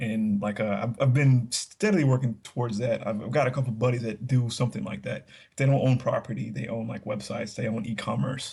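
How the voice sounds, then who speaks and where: In an American accent, a man talks at a medium pitch and a fairly quick pace with hardly any pauses, a somewhat breathy, dark, mellow tone and fairly even intonation. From Texas. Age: 30s. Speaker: podcast guest. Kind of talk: casual chat.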